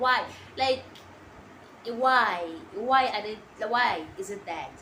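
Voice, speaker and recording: A woman speaks with an Eswatini accent. There is noticeable background noise and audible room echo. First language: Siswati. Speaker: international student vlogger. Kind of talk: casual vlog talk to camera. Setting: sitting down, filming to camera.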